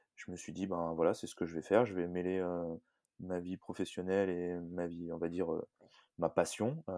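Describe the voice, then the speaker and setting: A man's very deep, low voice with a dark, mellow tone, monotone and flat, broken by long, frequent pauses, in a dry, close sound with no echo. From France, Annecy. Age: 30s. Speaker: CrossFit coach and athlete. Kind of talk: interview. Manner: hesitant, many fillers.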